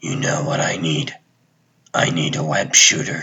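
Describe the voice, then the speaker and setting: This is a put-on character voice with a raspy sound. The pace is moderate. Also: man, medium pitch for a man. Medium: fan dub. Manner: terse, clipped.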